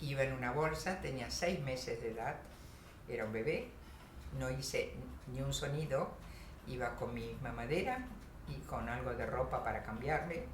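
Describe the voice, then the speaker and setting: A woman talks at a moderate pace with long, frequent pauses, over noticeable background noise and with audible room echo. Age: 70s. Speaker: Holocaust survivor. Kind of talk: testimony. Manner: halting, many fillers.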